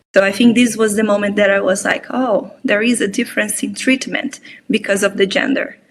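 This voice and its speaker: A woman with a fairly high pitch speaks at a fairly quick pace in a somewhat breathy voice. Her intonation stays fairly even. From Brazil. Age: 30s. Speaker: mentor. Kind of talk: interview conversation.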